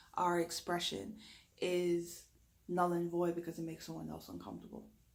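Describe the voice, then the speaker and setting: A woman speaks with an American accent, and audible room echo carries her voice. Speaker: reiki energy healer. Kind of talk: spiritual talk to camera.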